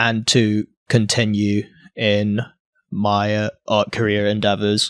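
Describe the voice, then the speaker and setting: A man speaks very slowly in a fairly low voice with monotone, flat intonation. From Hong Kong and UK (international schooling, UK from age 14). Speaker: surrealist painter. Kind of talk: interview conversation. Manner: halting, many fillers and repeats.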